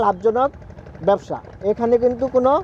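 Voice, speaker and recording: Recorded with a dry sound and no echo, a man's voice comes over light background noise. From Bangladesh. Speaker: agriculture video reporter. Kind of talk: field interview and report. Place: farm machine.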